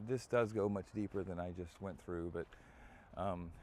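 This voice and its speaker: In an American accent, a man with a very deep, low pitch speaks in a relaxed tone with fairly even intonation. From United States. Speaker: vlogger. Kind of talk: walking vlog tour. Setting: outdoors. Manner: loud; relaxed, hesitant with fillers.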